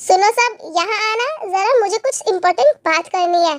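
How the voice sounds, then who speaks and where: A woman does a put-on character voice, squeaky and extremely high in pitch, at a moderate pace. The sound is dry and close, without echo. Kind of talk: excited, announcing news. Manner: shouting to call everyone.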